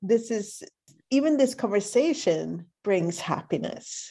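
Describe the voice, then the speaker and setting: Speaking in a Swedish accent, a woman uses a fairly high pitch with very wide swings and a dark, mellow tone. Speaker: podcast host. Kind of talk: interview.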